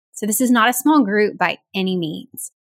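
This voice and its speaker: Recorded very cleanly against a silent background, with a dry, close sound and no echo, a woman speaks at a moderate pace in a Southern US accent. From US South. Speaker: pediatric audiologist. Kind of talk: interview.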